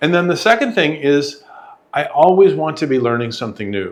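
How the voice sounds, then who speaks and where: A man talks at a fairly quick pace in a fairly high voice with vocal fry and very wide pitch swings. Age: 70s. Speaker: software professional and podcast guest. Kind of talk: interview.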